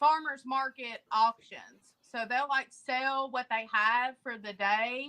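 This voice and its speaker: In a strong Appalachian accent, a woman with a bright, sharp tone and a high pitch talks very slowly with hardly any pauses and fairly even intonation, the sound dry and close with no echo. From eastern Kentucky, Appalachia. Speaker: homesteader. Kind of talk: casual chat. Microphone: too quiet.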